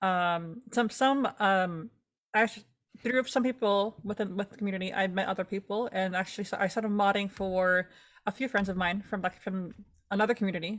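At a fairly quick pace, a woman talks in a plain, everyday voice of medium pitch with fairly even intonation. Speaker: podcast co-host. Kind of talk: casual chat.

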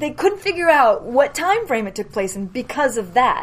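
Her voice is high for a woman, with a slight Boston accent. She talks at a fairly quick pace. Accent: New England, slight Boston-tinged. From New Hampshire, US. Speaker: filmmaker. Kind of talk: casual interview chat.

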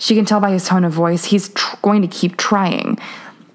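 The natural reading voice keeps a fairly even intonation from start to finish.

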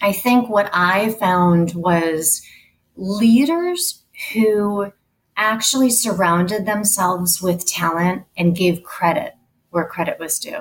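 A woman speaks at a very slow pace with lively intonation. Her voice is somewhat breathy. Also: medium pitch for a woman. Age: 40s. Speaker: HR executive. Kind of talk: interview.

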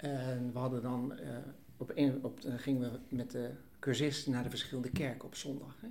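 Fairly even intonation carries a somewhat breathy voice. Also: man. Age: 70s. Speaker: churchgoer and course leader. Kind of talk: casual chat. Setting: studio.

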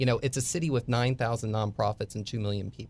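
A man speaks at a fairly quick pace with an American accent, medium pitch and ordinary pitch variation. It is a normal speaking voice on a very clean recording with a silent background. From US Northeast, Bucks County, Pennsylvania. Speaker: author and society writer. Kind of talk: casual interview chat. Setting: studio.

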